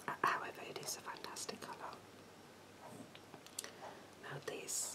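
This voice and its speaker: Through loud background noise comes soft-spoken whispering. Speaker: beauty vlogger. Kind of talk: casual tutorial chat. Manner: soft ASMR whisper.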